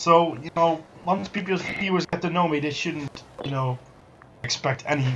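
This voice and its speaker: A man talks at a moderate pace. Noticeable background noise runs under the recording. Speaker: gaming streamer. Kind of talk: casual chat. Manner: loud.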